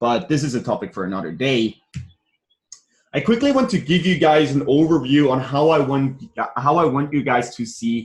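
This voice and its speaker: With a non-native accent, a man at a medium pitch talks at a moderate pace, somewhat breathy and with lively intonation. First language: not English. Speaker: business coach. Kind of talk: online training. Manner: hesitant, repeats words.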